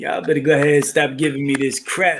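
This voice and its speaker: A man talks with a New York accent. His pace is moderate. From New York (Brooklyn). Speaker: caller. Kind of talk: casual chat.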